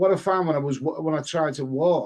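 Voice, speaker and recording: With an English accent, a man of fairly high pitch speaks at a fairly slow pace, his pitch varying in an ordinary way. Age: 60s. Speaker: live stream host. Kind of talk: casual chat. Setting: live stream. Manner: halting.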